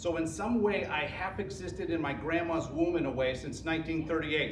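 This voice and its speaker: Noticeable background noise and audible room echo accompany a man speaking with an American accent. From US Midwest, Roseville, Michigan. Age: 60s. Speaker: college guest speaker. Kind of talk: presentation talk with slides. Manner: casual, animated.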